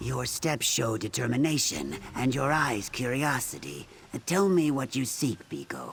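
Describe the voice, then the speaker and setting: A man performs a put-on character voice at medium pitch. He keeps a moderate pace. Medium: video game. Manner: calm, gentle.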